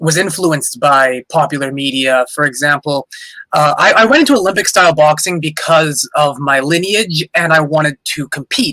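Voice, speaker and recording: This man has an ordinary speaking voice, fairly high in pitch, with a Canadian accent. He talks at a moderate pace with ordinary pitch variation. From Canada. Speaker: boxer and boxing coach. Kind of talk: casual chat.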